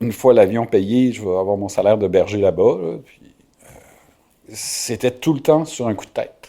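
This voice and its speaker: Medium in pitch and dark and mellow in tone, a man's voice moves at a fairly slow pace. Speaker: shepherd and author. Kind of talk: interview storytelling. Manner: hesitant, many fillers.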